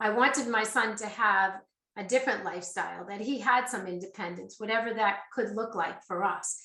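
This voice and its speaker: A woman talks with a fairly high pitch and ordinary pitch variation. Room echo can be heard. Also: moderate pace. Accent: slight Boston. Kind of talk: webcast presentation.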